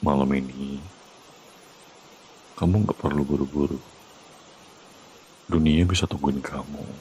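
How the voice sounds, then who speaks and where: Soft-spoken whispering from a man at a fairly slow pace, with long, frequent pauses and noticeable background noise. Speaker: VTuber ASMR roleplay performer. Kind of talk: ASMR boyfriend comfort roleplay. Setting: close-mic ASMR recording for headphones. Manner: soft, calm, reassuring, whispered.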